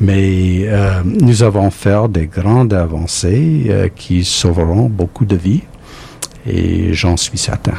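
Speaking at a very slow pace, a man with an English accent has a fairly low pitch, with noticeable background noise around him. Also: ordinary pitch variation. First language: English (speaking French). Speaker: immunology professor and cancer researcher. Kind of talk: recorded interview. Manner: halting.

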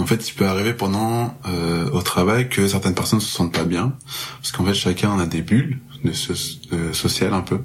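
Fairly low-pitched male speech at a moderate pace, ordinary pitch variation and noticeable background noise. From Marseille, southern France. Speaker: music festival promoter. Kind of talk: casual podcast interview.

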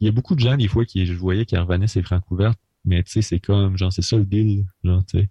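A man with a Quebec accent, fairly low-pitched, dark and mellow in tone, somewhat breathy, at a very fast pace with fairly even intonation, in dry, close sound with no echo. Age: 20s. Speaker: rock musician. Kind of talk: casual radio interview.

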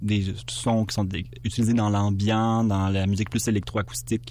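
A man with a Quebec accent talks at a moderate pace in a dark, mellow tone with ordinary pitch variation. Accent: Québécois French. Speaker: musician. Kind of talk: interview. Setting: studio. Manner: halting.

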